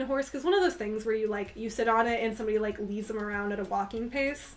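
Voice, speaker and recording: A woman at a very fast pace, animated in tone, over noticeable background noise. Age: 20s. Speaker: livestreamer. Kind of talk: casual chat. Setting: livestream.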